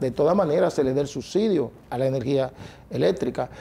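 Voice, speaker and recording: A man talking at a fairly quick pace. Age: 60s. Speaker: transport union leader. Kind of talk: TV interview debate. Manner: animated.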